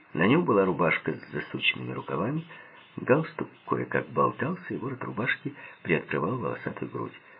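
A natural voice is heard reading aloud.

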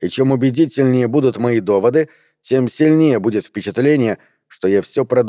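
This is a natural reading voice with ordinary pitch variation, heard over a quiet background.

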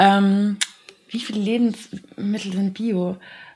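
A woman speaks at a very slow pace in a medium pitch, her voice somewhat breathy. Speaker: podcast co-host, university student. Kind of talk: casual chat.

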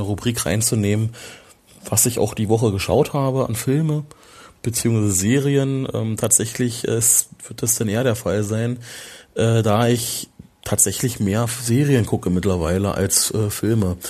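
There is a quiet background behind this man. He speaks at medium pitch in a dark, mellow tone with fairly even intonation. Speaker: film podcaster. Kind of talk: solo film review podcast. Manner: halting, many fillers.

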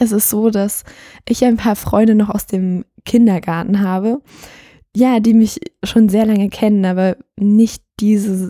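With a dark, mellow tone and a medium pitch, a woman speaks fairly slowly and with fairly even intonation, the sound dry and close with no echo. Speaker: podcast host. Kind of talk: solo podcast monologue. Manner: casual, hesitant with fillers.

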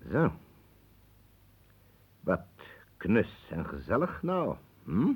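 Using a put-on character voice, a man speaks very slowly at a fairly low pitch, with very wide pitch swings, a slightly mellow tone and a husky, rough edge.

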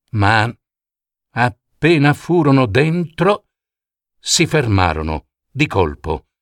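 The recording is very clean, with a silent background and a dry, close sound without echo. A man speaks slowly at a medium pitch, with big swings in his pitch.

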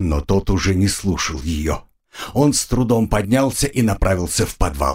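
Lively intonation in plain reading aloud, with the background kept quiet

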